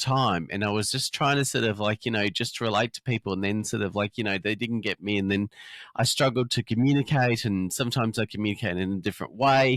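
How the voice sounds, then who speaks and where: In a dry, close sound with no echo, a man with an Australian accent talks at a very fast pace with hardly any pauses, at medium pitch and with ordinary pitch variation. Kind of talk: interview. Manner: halting, many fillers.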